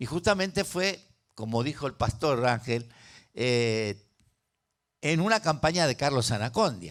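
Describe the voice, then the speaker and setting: A man at a fairly slow pace with very wide pitch swings, on a very clean recording with a silent background. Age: 70s. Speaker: pastor. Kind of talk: sermon.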